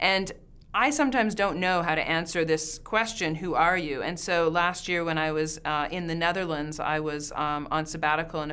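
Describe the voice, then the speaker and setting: Speaking fairly quickly with a Canadian accent, a woman with a fairly low voice and a bright, sharp tone is heard with audible room echo. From Canada. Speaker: professor. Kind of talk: interview answer.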